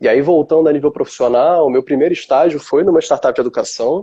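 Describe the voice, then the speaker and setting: The sound is close and dry, without any echo. A man speaks at a moderate pace. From Rio de Janeiro, Brazil. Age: 20s. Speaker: innovation manager. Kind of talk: interview.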